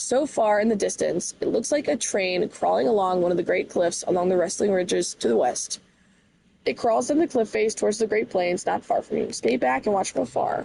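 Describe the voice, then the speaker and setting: Vocal fry runs through a woman's medium-pitched voice as she talks at a fairly quick pace. Her pitch swings very widely while her loudness stays very even. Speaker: gaming streamer. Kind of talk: reading aloud. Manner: halting.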